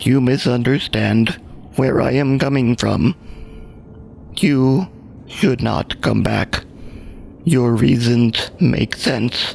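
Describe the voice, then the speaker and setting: Over clear background noise, a man in a put-on character voice talks at a very slow pace and medium pitch, with long, frequent pauses. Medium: actual play. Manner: mournful, halting.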